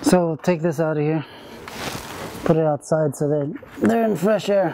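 Through noticeable background noise, a man speaks at a fairly slow pace. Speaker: bee removal specialist. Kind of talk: explaining while working. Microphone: camera far.

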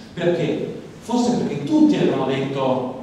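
A man talks at a moderate pace. Strong room echo and light background noise surround his voice. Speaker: politician. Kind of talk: political speech. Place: hall.

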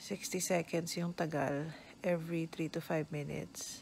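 Fairly low in pitch, a woman speaks in a weary tone with vocal fry. Light background noise sits behind her. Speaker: pregnant vlogger. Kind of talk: casual vlog chat. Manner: weary, low voice with discomfort. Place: home room. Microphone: phone near.

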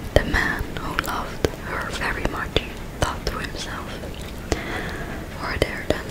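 Whispering and soft-spoken, a woman speaks at a very slow pace. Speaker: storyteller. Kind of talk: story reading aloud. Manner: soft close-up ASMR whisper. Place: home room. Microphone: studio mic.

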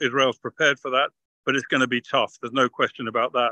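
Against a quiet background with a dry, close sound and no echo, a man with a British accent speaks at a medium pitch in a bright, sharp tone with monotone, flat intonation. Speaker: retired army officer, military analyst. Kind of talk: interview analysis. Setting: video call from a car.

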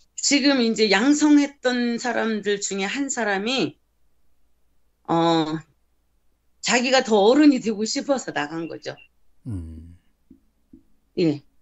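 A woman's fairly high voice with lively intonation, a very slow pace and long, frequent pauses against a quiet background. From South Korea. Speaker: missionary. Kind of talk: interview. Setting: video call. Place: home room. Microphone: video call.

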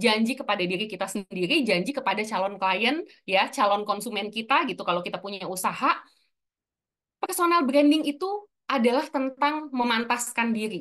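In an ordinary speaking voice, a woman with a fairly high pitch speaks at a fairly quick pace with lively intonation against a quiet background. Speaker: personal branding speaker; speaker. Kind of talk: webinar talk. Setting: video call. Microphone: video call.

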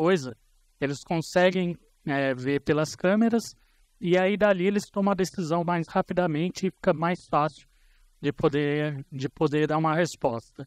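Over a quiet background, a man speaks at a high pitch and a moderate pace. His pitch varies in an ordinary way, and the sound is dry with no echo. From Brazil, ABC region of São Paulo. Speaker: conference speaker on information security. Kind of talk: conference talk. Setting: stage with audience. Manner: casual, with hesitations. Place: hall.

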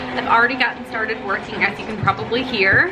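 A woman speaks in a high voice. Clear music plays in the background. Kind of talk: casual vlog chat. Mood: upbeat, pleased. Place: home room. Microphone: phone near.

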